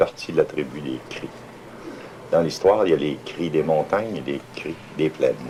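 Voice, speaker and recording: A man with a very deep, low pitch at a moderate pace, long, frequent pauses and big swings in loudness, over noticeable background noise. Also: ordinary pitch variation. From Innu of Pointe-Bleue, Lac Saint-Jean, Quebec. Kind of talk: interview answer. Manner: patient.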